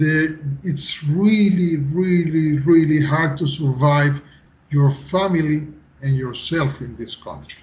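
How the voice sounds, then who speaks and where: Somewhat breathy and very slow, a man with a fairly high pitch speaks with fairly even intonation and big swings in loudness. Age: 50s. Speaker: civil engineer. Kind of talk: interview. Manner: halting.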